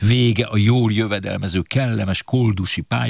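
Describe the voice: What you hear is plain reading aloud.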